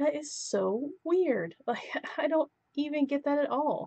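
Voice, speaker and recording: A woman's dark, mellow tone at a fairly slow pace. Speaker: vlogger. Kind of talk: casual vlog commentary. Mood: frustrated, indignant. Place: home room. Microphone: webcam.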